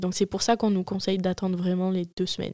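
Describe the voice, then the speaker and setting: A woman speaks with a dark, mellow tone. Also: dry, close sound with no echo, very clean recording, silent background. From Marseille, southern France. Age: 20s. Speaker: young mother, podcast guest. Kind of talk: personal testimony in casual interview.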